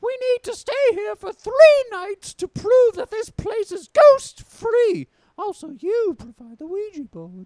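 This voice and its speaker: A man's put-on character voice, squeaky and extremely high in pitch. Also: fairly slow pace. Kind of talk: comic overacting. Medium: comedy sketch. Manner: shrill, demanding.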